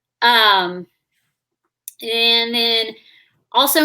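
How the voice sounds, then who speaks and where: A woman talks with a Southern US accent in a bright, sharp tone. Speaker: YouTuber hosting a live stream. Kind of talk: casual chat. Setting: online live stream.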